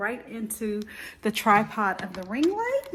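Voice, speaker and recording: A woman's fairly high voice at a very slow pace. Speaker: actress. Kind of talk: casual vlog talk to camera. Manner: upbeat, energetic.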